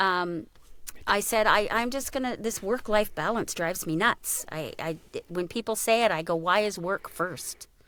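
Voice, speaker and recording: A woman's normal speaking voice at a medium pitch, moderate pace and lively intonation, in a very clean recording with a silent background. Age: 60s. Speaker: voice actor. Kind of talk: casual chat.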